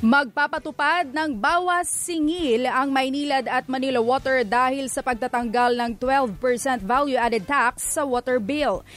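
A woman speaks at a high pitch and a fairly slow pace. Her loudness stays very even, with ordinary pitch variation. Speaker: radio news anchor. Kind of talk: news reading.

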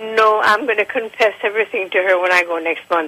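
Moderate-paced speech from a woman, with noticeable background noise behind it. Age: 70s. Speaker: caller giving product testimonial. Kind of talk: testimony. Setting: phone call.

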